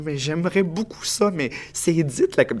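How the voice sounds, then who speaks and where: A man speaks at a fairly high pitch. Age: 30s. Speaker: playwright and actor. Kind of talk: interview.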